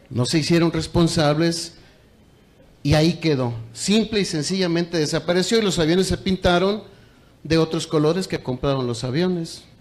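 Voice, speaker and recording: A man's high-pitched, animated voice with a Mexican accent, moderate pace and ordinary pitch variation. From Mexico. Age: 60s. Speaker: teachers' union leader. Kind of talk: conference speech. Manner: animated, repetitive emphasis.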